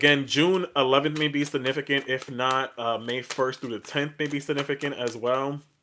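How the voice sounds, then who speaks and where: Loud and bright with a sharp tone, a man speaks with hardly any pauses. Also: fairly high pitch for a man, moderate pace. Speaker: tarot reader. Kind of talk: live stream tarot reading. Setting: live stream on social media. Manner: animated.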